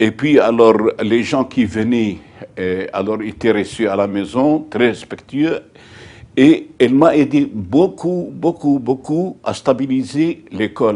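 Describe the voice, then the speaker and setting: At a very slow pace, a man speaks with a dark, mellow tone and lively intonation. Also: medium pitch for a man. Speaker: former parish priest of Gaza, interviewee. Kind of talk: interview answer. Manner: hesitant, repeating words.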